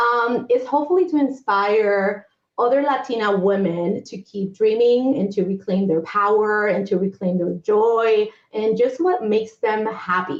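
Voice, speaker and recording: In a plain, everyday voice, a woman speaks at a fairly slow pace and fairly high pitch with lively intonation. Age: 40s. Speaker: humanitarian aid worker and entrepreneur. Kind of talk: interview.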